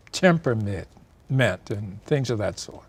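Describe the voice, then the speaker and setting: An American accent with very wide pitch swings over noticeable background noise. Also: man. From Michigan and Tennessee. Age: 80s+. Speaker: retired professor. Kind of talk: interview.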